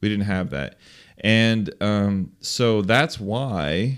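Speaking in a plain, everyday voice, a man uses lively intonation at a fairly low pitch on a very clean recording with a silent background. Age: 20s. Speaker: podcast co-host. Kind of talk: casual chat.

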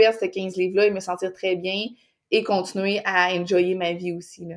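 The speaker has a Quebec accent and talks at a moderate pace with monotone, flat intonation. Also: woman. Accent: Québécois French. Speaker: fitness mentor, podcaster. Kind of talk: casual interview chat.

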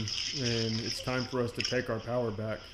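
With an American accent, a man speaks fairly slowly at medium pitch in a monotone, flat intonation, with audible room echo and noticeable background noise. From Texas. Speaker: energy medicine practitioner. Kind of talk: casual chat.

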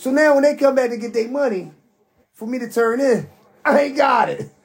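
A man's extremely high-pitched voice with vocal fry, big pitch swings and a moderate pace.

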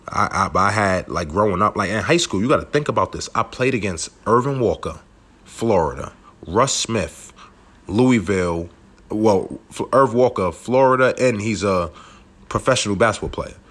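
In a Brooklyn accent, a man with a fairly low pitch speaks in an animated tone at a moderate pace, with ordinary pitch variation. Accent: New York (Brooklyn). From Brooklyn, New York. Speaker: former professional basketball player, podcast host. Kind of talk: casual monologue, personal story.

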